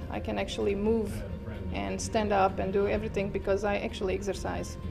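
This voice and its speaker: A woman at a fairly quick pace, clear music playing behind her. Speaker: yoga instructor. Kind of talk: interview answer. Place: home room.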